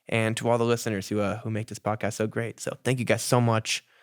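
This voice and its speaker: Over music in the background, a man with a medium pitch talks at a very fast pace. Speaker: guest podcast host. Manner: fast talker.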